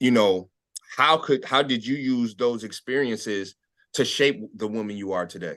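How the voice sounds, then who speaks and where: A man with an American accent speaks in an unremarkable speaking voice at a medium pitch. He keeps a moderate pace with ordinary pitch variation. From United States. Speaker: show host. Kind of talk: interview. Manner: casual.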